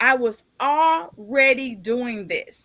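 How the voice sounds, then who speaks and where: A woman speaks in a raised, projected voice, high-pitched, with ordinary pitch variation. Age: 50s. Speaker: podcast host and author. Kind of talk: casual interview chat. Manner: animated.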